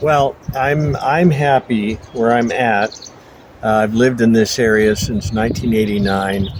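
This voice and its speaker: Speaking with an American accent over noticeable background noise, a man keeps a medium pitch, a fairly slow pace and ordinary pitch variation. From US Northeast (Buffalo, New York). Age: 70s. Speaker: interviewee. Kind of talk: casual interview. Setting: outdoors in front of a monastery.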